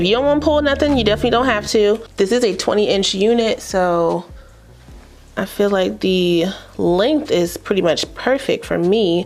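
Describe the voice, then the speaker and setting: A woman's voice sits at a fairly high pitch with lively intonation. Music plays in the background. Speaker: beauty YouTuber reviewing wigs. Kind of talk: casual hair tutorial vlog. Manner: fast; animated.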